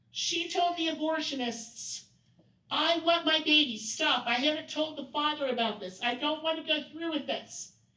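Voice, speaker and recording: Raising and projecting her high-pitched voice, a woman with a bright, sharp tone speaks at a moderate pace. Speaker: workshop presenter. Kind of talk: training workshop talk. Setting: event room with audience. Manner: loud.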